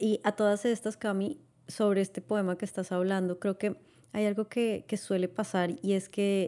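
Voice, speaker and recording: A dark, mellow tone at a moderate pace, with very even loudness and a very clean recording against a silent background. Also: woman, medium pitch for a woman. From Latin America. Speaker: podcast co-host. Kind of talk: casual chat. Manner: halting.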